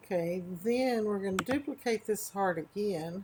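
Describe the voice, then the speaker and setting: Her voice is somewhat breathy and medium in pitch, with ordinary pitch variation. This woman talks at a very slow pace. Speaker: crafting tutorial creator. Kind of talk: tutorial. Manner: slower than normal.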